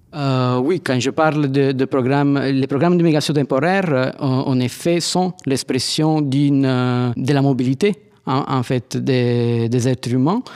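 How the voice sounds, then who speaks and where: Speaking at a very slow pace with hardly any pauses, a man keeps very even loudness and fairly even intonation. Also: medium pitch for a man. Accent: Italian. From Italy, Naples. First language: Italian (speaking French). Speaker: anthropologist. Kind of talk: interview. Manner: hesitant, many fillers.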